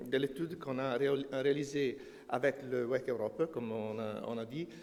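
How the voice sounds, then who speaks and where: A man with a non-native accent and a fairly high pitch speaks at a very slow pace. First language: not French (speaking French). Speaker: energy consultant. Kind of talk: conference presentation. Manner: halting, many hesitations.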